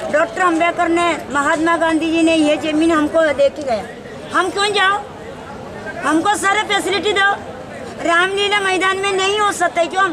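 A raised, projected voice carries over crowd noise in the background. The pace is fairly slow, with ordinary pitch variation and long, frequent pauses. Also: woman. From South India. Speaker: protester. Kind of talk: street interview. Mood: aggrieved, indignant. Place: street.

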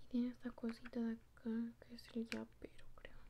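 A soft-spoken woman talks with big swings in loudness. There is light background noise. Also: moderate pace. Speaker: toy unboxing vlogger. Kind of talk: casual vlog chat. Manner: soft-spoken quiet ASMR voice. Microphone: phone near.

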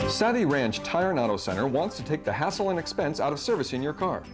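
Music plays in the background as the speaker talks at a very fast pace. The pitch swings very widely while the loudness stays very even. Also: man, fairly high pitch for a man. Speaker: voice actor. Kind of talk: TV commercial read.

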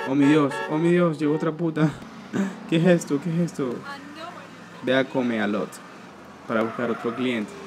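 A man with a fairly high voice speaks with long, frequent pauses over faint background music. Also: ordinary pitch variation, moderate pace. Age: 20s. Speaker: gaming youtuber; gamer commentator. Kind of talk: gameplay commentary. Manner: casual, rambling with filler words. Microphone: poor recording quality.

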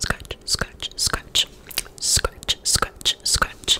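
A soft-spoken, whispering woman. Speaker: ASMR creator. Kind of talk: soft ASMR trigger words and closing chat. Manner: soft whispered trigger words. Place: home room. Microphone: studio mic.

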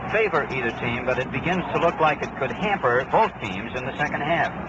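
A man speaks at a fairly quick pace. The sound is dry with no echo, set against loud background noise. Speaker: radio sports announcer. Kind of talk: sports radio commentary. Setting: stadium broadcast booth. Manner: brisk, steady, crisp play-by-play delivery; formal, polished 1960s broadcaster tone. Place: booth. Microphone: old recording.

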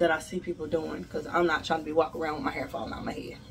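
Light background noise runs beneath a woman talking. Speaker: beauty vlogger; hair vlogger. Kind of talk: tutorial. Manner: casual. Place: home room. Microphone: phone near.

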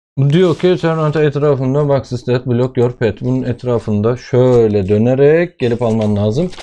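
With a dark, mellow tone and a medium pitch, a man speaks at a fairly slow pace with hardly any pauses, very even loudness and ordinary pitch variation. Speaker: father making coding videos with his child. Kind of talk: casual screen-recorded tutorial.

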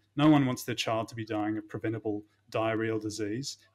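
A man at a fairly quick pace and medium pitch, in an Australian accent, on a very clean recording with a silent background. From Melbourne, Australia. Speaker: doctor. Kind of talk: casual chat. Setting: office.

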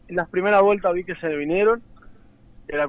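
A man talks with ordinary pitch variation. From San Juan, Argentina. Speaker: racing driver. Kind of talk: phone interview.

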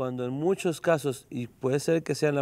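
A man speaks at a moderate pace and fairly high pitch. His tone is dark and mellow, with ordinary pitch variation. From Mexico. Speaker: rabbi. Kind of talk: interview. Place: studio. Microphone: lapel.

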